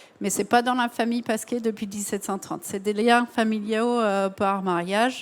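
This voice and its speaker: The background is silent on a very clean recording. The speaker's intonation stays fairly even. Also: woman. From United States. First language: English (speaking French). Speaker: cognac producer. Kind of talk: masterclass presentation.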